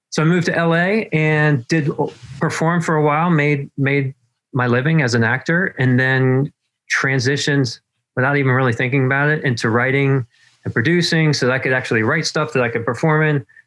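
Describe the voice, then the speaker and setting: A man with an American accent talks at a fairly quick pace, his pitch fairly high and his loudness very even. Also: ordinary pitch variation. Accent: Southern US accent coming back. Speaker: marketing consultant, former actor and writer. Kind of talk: interview. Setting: video call from his back porch.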